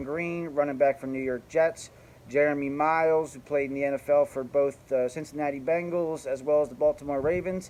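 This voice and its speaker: With a New Jersey accent, a man of fairly high pitch speaks in a monotone, flat intonation. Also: hardly any pauses. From New Jersey, South Jersey. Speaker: youth baseball coach and vlogger. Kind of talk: casual monologue introduction.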